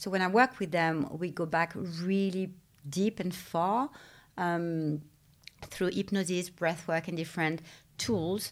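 Very slow and showing ordinary pitch variation, this voice has a French accent and comes through a very clean recording with a silent background. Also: woman, fairly low pitch for a woman. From France. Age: 40s. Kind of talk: interview. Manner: halting, with many fillers.

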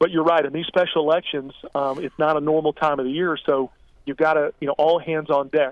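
A man at a fairly high pitch, moderate in pace, with monotone, flat intonation. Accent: American. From Florida, Marion County. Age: 40s. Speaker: political candidate. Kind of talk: radio interview.

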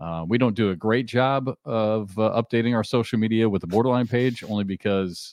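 A man uses a normal speaking voice, fairly low in pitch, at a moderate pace. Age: 50s. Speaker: podcast host. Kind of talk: casual chat.

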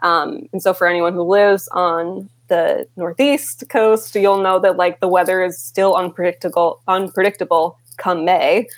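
In an American accent, a plain, everyday voice moves at a fairly slow pace with hardly any pauses, very even loudness and ordinary pitch variation. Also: woman, medium pitch for a woman. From Rochester, New York, US. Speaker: photographer. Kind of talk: interview.

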